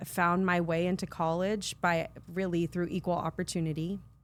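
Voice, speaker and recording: In a Californian accent, a woman talks at a moderate pace with a fairly low pitch. Her intonation is monotone and flat, and the recording is very clean with a silent background. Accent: Californian American English. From US West Coast (San Fernando Valley, California). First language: Spanish. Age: 50s. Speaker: nonprofit CEO and social worker. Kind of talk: interview conversation.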